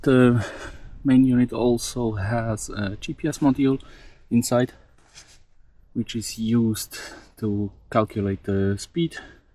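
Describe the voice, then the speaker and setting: At a very slow pace with long, frequent pauses, a man with a non-native accent speaks in a dark, mellow tone at a medium pitch. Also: fairly even intonation. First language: not English. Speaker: DIY electronics hobbyist, mountain biker. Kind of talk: tutorial. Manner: hesitant, many fillers.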